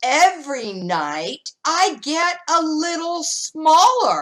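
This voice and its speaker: In a put-on character voice, a woman speaks at a very slow pace with an extremely high pitch. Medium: read story. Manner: calm, gentle.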